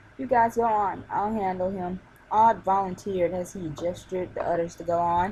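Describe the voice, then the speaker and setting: This woman's voice is somewhat breathy. She talks at a moderate pace. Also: medium pitch for a woman. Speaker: fan fiction reader. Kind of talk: reading aloud. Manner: halting, stumbles on words.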